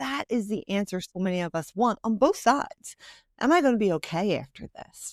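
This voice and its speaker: In a Philadelphia accent, a woman speaks with lively intonation, the recording very clean with a silent background and a dry, close sound with no echo. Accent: Philadelphia American. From Philadelphia, US. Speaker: financial planner and author. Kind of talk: podcast interview. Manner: fast.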